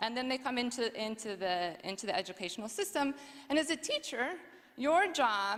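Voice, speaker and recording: A woman with an American accent speaks in a bright, sharp tone. Her intonation is lively. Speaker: education researcher, former teacher. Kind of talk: conference talk. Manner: fast.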